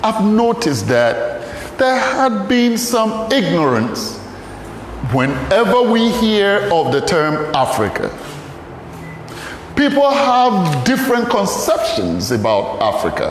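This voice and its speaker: A man with a Ghanaian accent speaks at a very slow pace and very even loudness. There is noticeable background noise and audible room echo. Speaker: pastor and archaeologist. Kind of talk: lecture.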